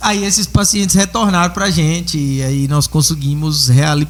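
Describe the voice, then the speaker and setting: A man speaks in a normal speaking voice, fairly high-pitched for a man, with ordinary pitch variation. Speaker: dentist. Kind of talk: casual chat.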